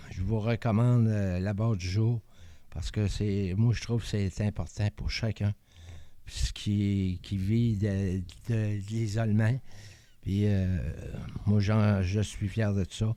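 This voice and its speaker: A man's dark, mellow voice, fairly low in pitch, flat and monotone, at a very slow pace with long, frequent pauses, in a very clean recording over a silent background. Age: 70s. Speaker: community mental health centre member. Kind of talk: personal testimony. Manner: halting, stammering; shy, hesitant.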